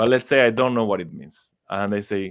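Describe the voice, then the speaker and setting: With an Argentine accent, a man talks at a fairly quick pace and medium pitch. The recording is very clean, the background silent. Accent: non-native English, Argentine Spanish. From Argentina. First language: Spanish. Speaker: astrologer and psychologist. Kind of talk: interview conversation. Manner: halting, with fillers.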